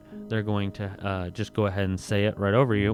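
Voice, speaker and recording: A man is speaking. Music plays in the background. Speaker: self-improvement vlogger. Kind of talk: casual monologue.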